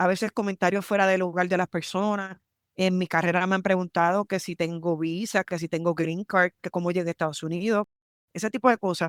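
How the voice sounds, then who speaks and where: In a strong Puerto Rican accent, a woman talks at a fairly quick pace in a medium pitch with monotone, flat intonation, the sound dry and close with no echo on a very clean recording with a silent background. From Puerto Rico, San Juan. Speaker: military lawyer. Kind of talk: podcast interview.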